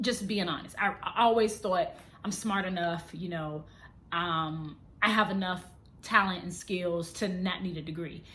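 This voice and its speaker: A woman's medium-pitched voice, bright and sharp, at a fairly slow pace with fairly even intonation and audible room echo. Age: 30s. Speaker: vlogger and model. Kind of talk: casual vlog monologue. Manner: unscripted, conversational.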